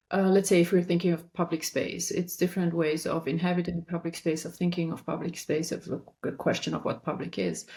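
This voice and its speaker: A somewhat breathy woman's voice, fairly low in pitch, in a very clean recording with a silent background. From Romania. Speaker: architect. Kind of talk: interview.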